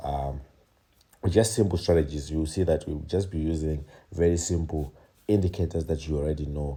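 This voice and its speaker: A soft-spoken man talks at a fairly quick pace with a very deep, low pitch. His tone is dark, mellow and somewhat breathy, with fairly even intonation. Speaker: trading educator. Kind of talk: tutorial. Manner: soft-spoken, low voice.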